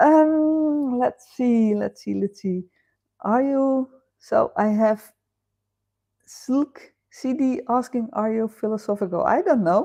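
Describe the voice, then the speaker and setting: A woman with a Dutch accent, high-pitched yet dark and mellow in tone, at a very slow pace with long, frequent pauses, against a quiet background. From Netherlands. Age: 50s. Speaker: live stream host. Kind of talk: casual chat. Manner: hesitant with fillers.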